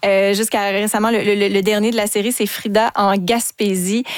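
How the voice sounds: A woman talks at a moderate pace, her medium pitch held in a fairly even intonation.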